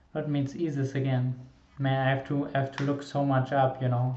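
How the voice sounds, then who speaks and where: A man's somewhat breathy, monotone voice with a non-native accent, at a moderate pace. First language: not English. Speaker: music reaction YouTuber. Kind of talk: reaction video commentary. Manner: halting, many repetitions and fillers.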